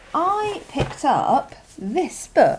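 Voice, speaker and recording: Over noticeable background noise, a woman's voice makes very wide pitch swings. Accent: West Country. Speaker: journaling vlogger. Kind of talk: casual show and tell. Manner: chatty, hesitant with many ums.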